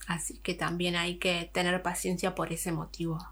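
The woman's voice is fairly low in pitch and bright and sharp in tone, delivered with monotone, flat intonation. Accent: Argentine. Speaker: podcaster. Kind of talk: casual vlog monologue.

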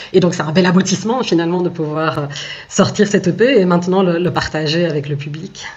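Over noticeable background noise, a woman with a fairly low voice speaks at a fairly quick pace. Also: ordinary pitch variation. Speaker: singer. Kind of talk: radio interview. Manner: halting.

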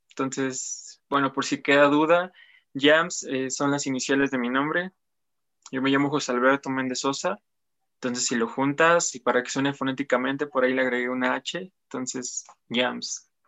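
A man speaks at a moderate pace with a medium pitch. He has an ordinary speaking voice and fairly even intonation. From Apizaco, Tlaxcala, Mexico. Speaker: musician. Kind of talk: interview. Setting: live-streamed interview.

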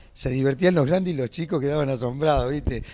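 A man talks at a fairly quick pace with a fairly high pitch and a plain, everyday voice. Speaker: townsperson. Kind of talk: testimony.

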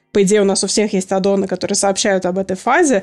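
At a very fast pace, a woman with a medium pitch speaks in fairly even intonation. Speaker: polyglot and long-time gamer. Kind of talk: casual chat.

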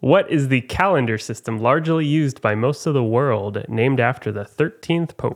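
In an ordinary speaking voice, a man talks at a moderate pace with medium pitch and ordinary pitch variation. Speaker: trivia podcast host. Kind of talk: casual chat.

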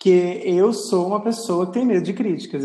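The voice belongs to a man. He speaks high-pitched, with ordinary variation in pitch. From Acre, Brazil (born Rio Grande do Norte). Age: 30s. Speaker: podcast host, journalist. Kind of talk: casual chat.

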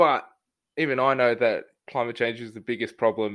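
Over a quiet background, a man with an Australian accent speaks at a medium pitch and a fairly quick pace. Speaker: podcast host. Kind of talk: interview. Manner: casual.

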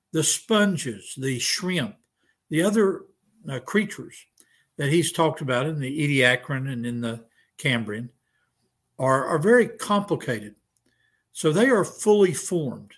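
A man's somewhat breathy, fairly high voice with very wide pitch swings, at a fairly slow pace with long, frequent pauses, on a very clean recording with a silent background. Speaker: creationist professor. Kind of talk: debate.

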